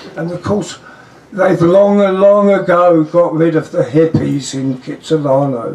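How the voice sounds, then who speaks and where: With a strong English accent, a man speaks in a high voice at a very slow pace with lively intonation. Noticeable background noise runs underneath. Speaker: friend giving a toast. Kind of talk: humorous toast at a party. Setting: private party gathering.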